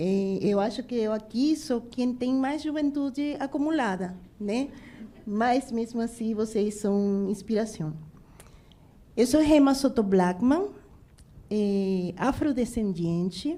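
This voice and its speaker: A woman with a fairly high pitch and a dark, mellow tone speaks very slowly, with long, frequent pauses. Her intonation is lively. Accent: Spanish. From Venezuela, Bolívar. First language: Spanish (speaking Portuguese). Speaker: restaurant entrepreneur. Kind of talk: panel discussion.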